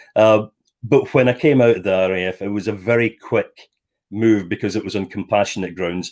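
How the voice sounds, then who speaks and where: A man speaks fairly quickly with a Scottish accent. His pitch is fairly low, and the recording is very clean with a silent background. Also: ordinary pitch variation. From Scotland, Stirling. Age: 60s. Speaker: former air force officer, property developer. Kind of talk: interview. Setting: live stream.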